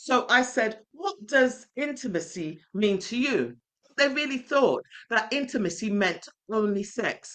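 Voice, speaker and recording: A woman with a high pitch speaks at a fairly slow pace, her intonation lively. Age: 60s. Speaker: relationship coach. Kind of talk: webinar talk. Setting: online webinar.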